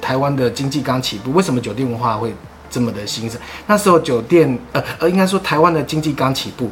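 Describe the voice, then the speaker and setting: Against noticeable background noise, a man of medium pitch talks at a fairly quick pace with lively intonation. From Taiwan, Sanchong (New Taipei). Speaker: podcast guest recalling family hostess-bar life. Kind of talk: casual interview chat.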